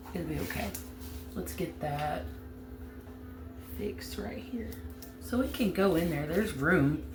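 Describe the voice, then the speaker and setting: Music sits in the background behind a strong Southern US accent. The pace is fairly slow, broken by long, frequent pauses. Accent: heavy Southern US. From US South, Alabama. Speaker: crafting YouTuber. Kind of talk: tutorial. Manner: casual, chatty.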